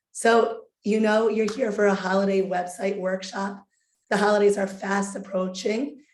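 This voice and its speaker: The intonation is flat and monotone. There is audible echo in the room. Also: woman. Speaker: webinar host. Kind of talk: webinar presentation.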